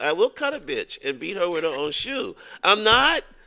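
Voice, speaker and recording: A man's raised, projected voice, bright and sharp in tone, with very wide pitch swings at a moderate pace. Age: 50s. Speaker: podcast co-host, army veteran. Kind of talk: casual chat.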